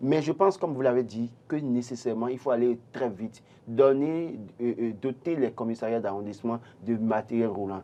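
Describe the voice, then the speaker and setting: This man talks at medium pitch and a moderate pace. His pitch variation is ordinary. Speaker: panelist. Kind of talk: studio panel discussion. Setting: studio. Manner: halting.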